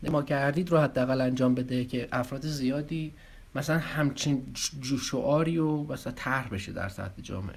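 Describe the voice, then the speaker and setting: Somewhat breathy, a man with a fairly high voice talks at a moderate pace with ordinary pitch variation. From Iran, Arak. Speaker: online video commentator. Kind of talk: casual video commentary. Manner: halting.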